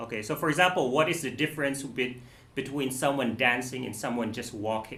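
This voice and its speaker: A man with a bright, sharp tone speaks at a fairly quick pace, with medium pitch and ordinary pitch variation. Audible room echo surrounds his voice. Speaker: music teacher giving a masterclass. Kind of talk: masterclass teaching.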